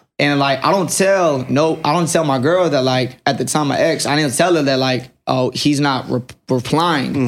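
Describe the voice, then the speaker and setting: A man with an American accent speaks in a normal speaking voice, fairly high-pitched for a man, at a moderate pace with fairly even intonation and very even loudness. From Fayetteville, North Carolina. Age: 20s. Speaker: barber turned entrepreneur. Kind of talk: casual chat.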